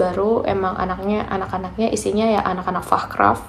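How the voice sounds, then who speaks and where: A woman at a medium pitch with fairly even intonation and a fairly quick pace, with audible room echo and noticeable background noise. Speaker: vocational trainee vlogger. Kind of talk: casual vlog talk. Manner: soft-spoken.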